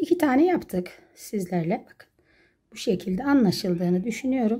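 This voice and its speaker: Against a quiet background, a woman with a dark, mellow, somewhat breathy tone uses very wide pitch swings and big swings in loudness. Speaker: crochet craft YouTuber. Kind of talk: tutorial. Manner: slow, step-by-step counting. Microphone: phone near.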